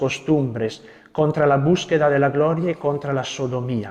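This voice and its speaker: Against noticeable background noise, a man with an Italian accent speaks at a fairly high pitch with fairly even intonation. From Italy. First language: Italian (speaking Spanish). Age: young. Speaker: Carmelite friar. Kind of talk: lecture. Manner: halting.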